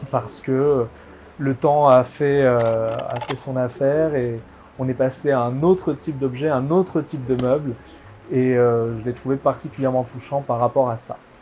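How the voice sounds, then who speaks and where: Fairly even intonation marks this man's medium-pitched voice. His pace is fairly slow. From southwest France (Bergerac / Bordeaux area). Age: 20s. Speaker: antiques dealer. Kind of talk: interview testimony. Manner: hesitant, many fillers.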